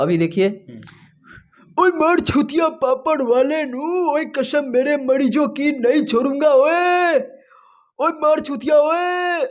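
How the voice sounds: A man's put-on character voice, extremely high-pitched and very slow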